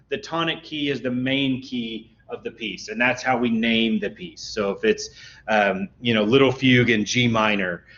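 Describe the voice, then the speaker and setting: In a normal speaking voice, a man talks fairly slowly at a medium pitch with lively intonation. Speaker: music instructor. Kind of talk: lecture. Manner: casual, with many fillers.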